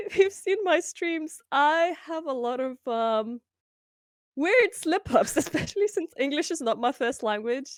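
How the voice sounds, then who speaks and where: Speaking at a fairly slow pace with a Lithuanian accent, a woman with a high voice uses very wide pitch swings, heard in a dry, close sound with no echo. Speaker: streamer. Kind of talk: casual interview chat.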